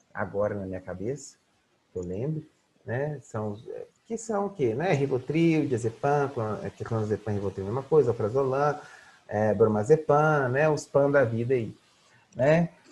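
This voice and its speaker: Somewhat breathy, the voice moves at a moderate pace with lively intonation and big swings in loudness. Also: man, medium pitch for a man. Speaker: psychology lecturer. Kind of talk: online lecture. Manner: halting, filler-heavy.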